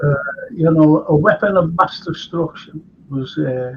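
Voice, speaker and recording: Speaking with a Liverpool accent, a man talks at a very slow pace. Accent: Scouse. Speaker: historian and chat show host. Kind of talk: casual chat. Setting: live stream. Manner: animated.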